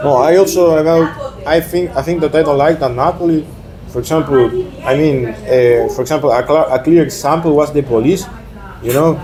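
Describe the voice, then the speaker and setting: Against noticeable background noise, a fairly high-pitched man talks at a fairly quick pace with fairly even intonation. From Argentina. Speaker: exchange student. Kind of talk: casual interview chat. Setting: in person in Naples. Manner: halting, many fillers; quiet.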